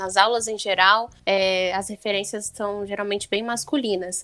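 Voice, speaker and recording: In an unremarkable speaking voice, a woman talks at a medium pitch and moderate pace with fairly even intonation. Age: 20s. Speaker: lawyer, podcast guest. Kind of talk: casual chat.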